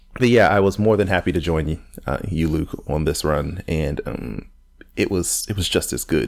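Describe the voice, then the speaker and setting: A man with a very deep, low pitch and vocal fry speaks at a moderate pace with lively intonation. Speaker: podcast co-host. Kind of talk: casual chat.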